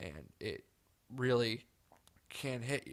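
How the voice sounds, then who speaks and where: A dark, mellow tone and ordinary pitch movement. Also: man. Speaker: podcast host. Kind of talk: solo podcast monologue. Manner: subdued, softer than usual.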